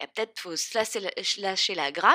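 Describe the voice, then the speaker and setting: A woman's voice in a strong southern French accent, dry and close with no echo, in a very clean recording with a silent background. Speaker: podcast host and spiritual coach. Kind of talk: solo podcast monologue.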